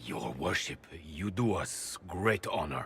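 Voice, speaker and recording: A man puts on a growling character voice at a very deep, low pitch. His intonation is lively. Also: fairly slow pace. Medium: video game.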